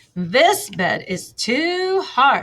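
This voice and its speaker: A woman puts on a character voice, pitched extremely high. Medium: read story. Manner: loud and clear.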